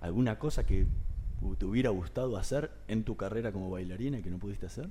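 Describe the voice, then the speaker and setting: The voice belongs to a man and has a dark, mellow tone. Ordinary pitch variation runs through it. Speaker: radio host. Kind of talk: radio interview.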